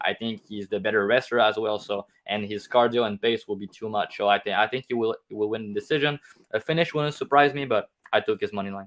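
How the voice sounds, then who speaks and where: Very fast speech in a Quebec accent, with fairly even intonation. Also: man. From Quebec, Canada. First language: French. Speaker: MMA betting analyst. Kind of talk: casual chat.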